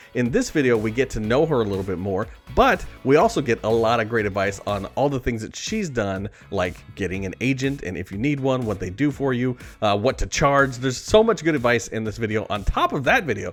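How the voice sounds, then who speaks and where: Medium-pitched male speech at a fairly quick pace with ordinary pitch variation, music in the background. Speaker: radio morning show host. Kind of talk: casual talk to camera.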